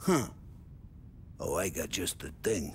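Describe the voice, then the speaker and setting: A man uses a loud, raspy, put-on character voice. Background noise is clearly audible. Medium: video game. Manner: loud, boisterous.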